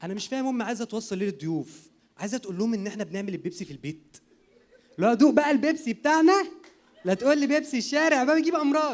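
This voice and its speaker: Racing at a very fast pace, a man speaks at an extremely high pitch with very wide pitch swings. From Egypt. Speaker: comedian. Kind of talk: stand-up.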